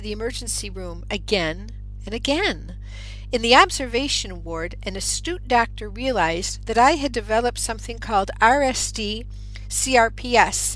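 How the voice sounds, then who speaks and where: Over music in the background, a woman talks at a moderate pace, and audible room echo surrounds her voice. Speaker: radio show host and author. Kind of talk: radio monologue; reading aloud from own book. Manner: occasional stutter.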